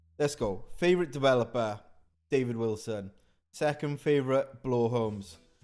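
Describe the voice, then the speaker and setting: A man's medium-pitched voice with a Welsh accent. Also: ordinary pitch variation, moderate pace. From Wales, Carmarthenshire. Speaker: new build snagging inspector. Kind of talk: live stream Q&A. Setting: live stream. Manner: casual, energetic.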